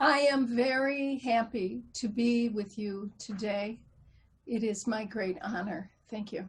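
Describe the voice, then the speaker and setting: Very slowly and somewhat breathily, a woman with a Midwestern American accent speaks in a fairly high pitch with ordinary pitch variation. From US Midwest. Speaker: author and spiritual teacher. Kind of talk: interview.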